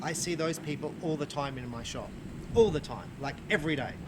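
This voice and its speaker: A man's fairly high voice in an Australian accent, with fairly even intonation, audible room echo and noticeable background noise. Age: 50s. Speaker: archery shop owner and bow reviewer. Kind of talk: casual video review chat. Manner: halting, many fillers.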